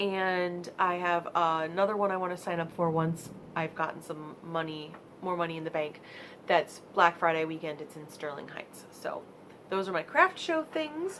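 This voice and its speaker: Her pitch fairly low, a woman talks at a moderate pace with flat, monotone intonation and big swings in loudness. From US Midwest, Michigan. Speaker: vlogger and crafter. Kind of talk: casual vlog monologue. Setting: home vlog space. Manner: halting.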